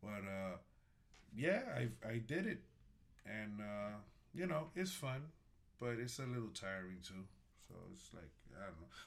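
A man with a New York accent speaks at a fairly slow pace, his fairly low voice swinging very widely in pitch. Loudness rises and falls sharply, long pauses come often, and the room echo is audible. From Bronx, New York. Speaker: restaurant worker. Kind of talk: casual chat.

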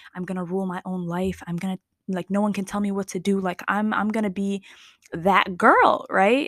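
Using a plain, everyday voice, a woman speaks at a moderate pace and medium pitch with fairly even intonation. The sound is dry and close, with no echo. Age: 20s. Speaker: podcast host. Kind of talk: solo reflective monologue. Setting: recording alone at night. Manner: conversational, with fillers and laughs.

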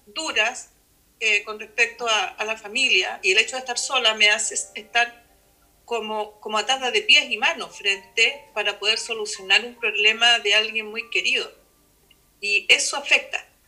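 Fairly slow speech with ordinary pitch variation over music in the background. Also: woman. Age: 50s. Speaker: schoolteacher. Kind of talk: casual chat.

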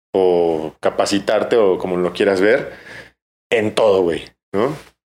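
A man's voice with ordinary pitch variation. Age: 30s. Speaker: bartender and brand ambassador. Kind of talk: casual chat. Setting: bar.

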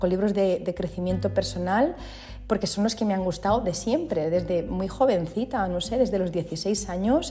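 Music plays in the background and room echo is audible as a woman speaks at medium pitch and a fairly slow pace with ordinary pitch variation. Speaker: feng shui consultant and podcast host. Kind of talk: solo podcast monologue, explanatory. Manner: informal and conversational.

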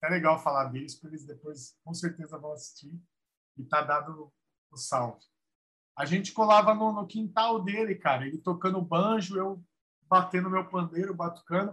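High-pitched and bright with a sharp tone, a man's voice rises and falls widely in loudness. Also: ordinary pitch variation, moderate pace. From São Paulo metro area (ABC / east zone). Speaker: samba singer. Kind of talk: casual interview chat.

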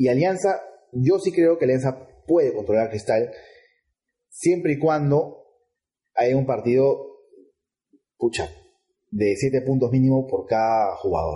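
Pausing long and often, a man speaks at a fairly slow pace with very even loudness. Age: 30s. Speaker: football podcast co-host. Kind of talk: casual chat.

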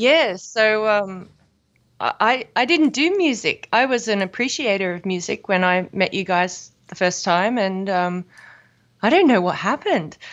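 With an Australian accent, a woman uses lively intonation at a fairly slow pace. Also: medium pitch for a woman. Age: 30s. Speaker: musician. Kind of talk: casual chat.

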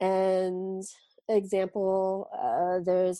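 A woman's medium-pitched voice, dark and mellow in tone, with an American accent. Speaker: film festival marketing director. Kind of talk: casual chat.

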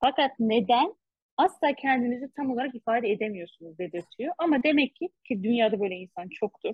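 A woman speaks with lively intonation. Her pitch is high. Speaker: podcast co-host. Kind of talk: casual book discussion. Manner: fast.

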